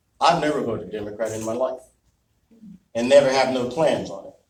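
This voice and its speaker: Here a man speaks. His tone is animated. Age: 60s. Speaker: political speaker. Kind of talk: speech. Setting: meeting with audience.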